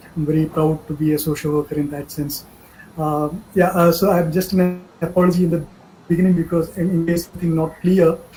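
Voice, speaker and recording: A man's high, monotone voice with flat intonation over noticeable background noise. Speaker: humanitarian aid manager. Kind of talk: online training talk. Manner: fast.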